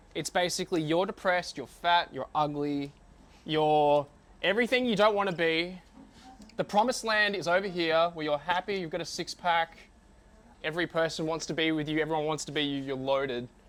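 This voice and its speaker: At a fairly quick pace, a man with an Australian accent speaks in a high pitch with ordinary pitch variation. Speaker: business owner and marketing coach. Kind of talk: talk to a live audience. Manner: casual.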